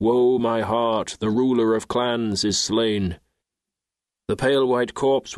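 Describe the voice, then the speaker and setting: Against a quiet background, a man speaks in a monotone, flat way at a moderate pace. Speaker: audiobook narrator. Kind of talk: audiobook narration of a funeral lament.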